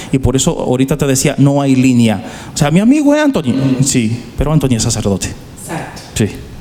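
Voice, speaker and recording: A man speaks at a very fast pace with a medium pitch and ordinary pitch variation. Noticeable background noise runs underneath. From Dominican Republic, Santo Domingo. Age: 40s. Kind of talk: interview.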